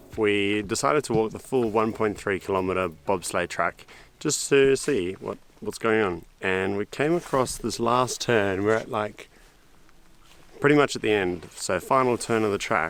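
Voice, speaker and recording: A man with an Australian accent, his fairly low voice moving at a fairly slow pace with ordinary pitch variation. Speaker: travel vlogger. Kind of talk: casual vlog narration. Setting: outdoors.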